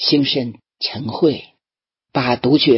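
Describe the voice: Against a quiet background comes plain reading aloud.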